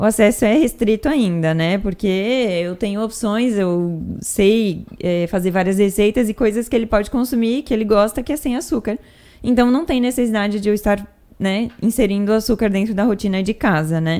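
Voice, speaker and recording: A woman speaks in an ordinary speaking voice at a fairly high pitch. She moves at a moderate pace with ordinary pitch variation. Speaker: nutritionist and podcast host. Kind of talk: casual talk to camera, educational podcast.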